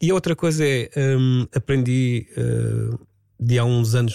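This man has a dark, mellow tone at a medium pitch, with fairly even intonation and a dry, close sound with no echo. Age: 50s. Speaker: radio presenter and DJ. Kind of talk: casual chat. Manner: calm.

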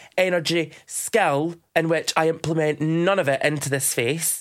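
A man with a Dundee accent, high in pitch, in an animated tone. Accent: Dundee Scottish. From Scotland, Dundee (Kirkton scheme). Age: 20s. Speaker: drag queen, podcast host. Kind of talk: casual chat.

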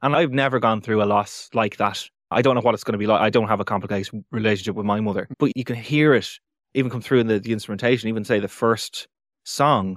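Fairly even in intonation, a man speaks at a very fast pace. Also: medium pitch for a man, very clean recording, silent background. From Ireland, Navan, County Meath. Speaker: comedian. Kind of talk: casual interview chat.

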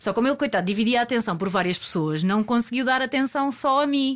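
With lively intonation and a fairly quick pace, a woman talks in a plain, everyday voice. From Portugal, Algarve. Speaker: interview guest telling her love story. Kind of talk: casual interview, storytelling.

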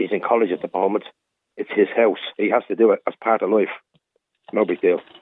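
A man with a Dublin accent speaks at a fairly quick pace. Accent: Dublin Irish. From Dublin, Ireland. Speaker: caller. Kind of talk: phone-in radio chat. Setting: phone call.

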